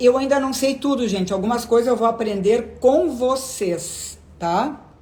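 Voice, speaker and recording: In a room with audible echo, a woman speaks in a somewhat breathy voice with ordinary pitch variation. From southern Brazil (Rio Grande do Sul). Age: 60s. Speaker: gynecologist. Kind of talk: live stream Q&A. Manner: conversational.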